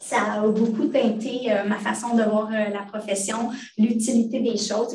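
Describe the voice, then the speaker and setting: Audible room echo surrounds a woman speaking at a fairly slow pace in a flat monotone. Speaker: hospital librarian, department head. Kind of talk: online training presentation. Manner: hesitant, many fillers.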